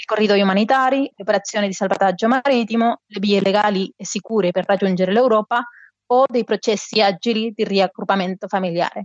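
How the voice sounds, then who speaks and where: A fairly quick pace, fairly even intonation and a Spanish accent. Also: woman, medium pitch for a woman. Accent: Spanish accent in Italian. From Spain, Barcelona. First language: Spanish or Catalan (speaking Italian). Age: 40s. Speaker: migration expert, NGO member. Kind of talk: interview.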